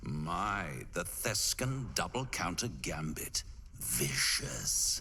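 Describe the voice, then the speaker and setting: Over clear background noise, a man puts on a character voice and talks at a very slow pace. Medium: video game. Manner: smooth, amused, insinuating.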